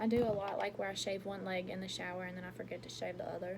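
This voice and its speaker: Over noticeable background noise and audible room echo, a woman talks very fast at a medium pitch. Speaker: beauty vlogger. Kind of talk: makeup tutorial.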